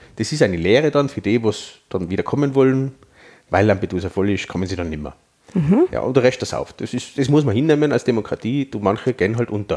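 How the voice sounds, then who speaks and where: Very fast speech from a man with an Austrian accent, a dark, mellow tone and lively intonation. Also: medium pitch for a man. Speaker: podcast host. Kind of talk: casual chat.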